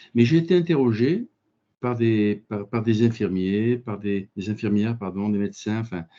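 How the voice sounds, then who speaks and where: A man with a dark, mellow tone talks at a very slow pace, recorded with a dry, close sound, no echo and a quiet background. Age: 60s. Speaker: physicist and engineer, business owner. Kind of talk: conference talk. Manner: halting.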